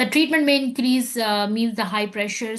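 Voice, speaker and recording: Over a quiet background, a woman talks at a fairly quick pace in a somewhat breathy voice with ordinary pitch variation. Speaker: medical exam tutor; physician. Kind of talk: lecture. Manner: fast.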